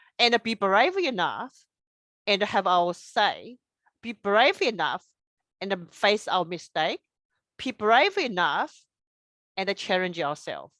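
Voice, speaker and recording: In a strong non-native accent, a woman speaks at a very slow pace with long, frequent pauses, lively intonation and a bright, sharp tone, in a very clean, dry, close recording with a silent background and no echo. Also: medium pitch for a woman. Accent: strong foreign. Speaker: engineer and presenter. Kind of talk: presentation. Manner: halting, non-native phrasing.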